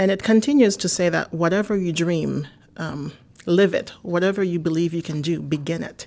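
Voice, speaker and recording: A woman with a Haitian accent talks at a moderate pace in a fairly low pitch, with a dark, mellow tone and ordinary pitch variation. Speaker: marketing executive. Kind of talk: interview.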